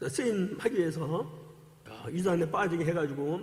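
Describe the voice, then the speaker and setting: Audible room echo surrounds a man's fairly high voice. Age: 60s. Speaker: former cult member giving testimony, church deacon. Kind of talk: testimony. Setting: church service. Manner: animated.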